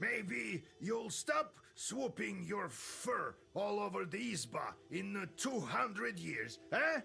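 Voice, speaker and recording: A man uses a put-on character voice, raised and projected, high-pitched with very wide pitch swings. He talks at a very slow pace over clear background music. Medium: video game.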